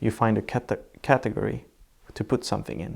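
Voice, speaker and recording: A man with a Swedish accent on a very clean recording against a silent background. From southern Sweden. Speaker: architect. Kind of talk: interview. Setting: in person, seated together. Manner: halting.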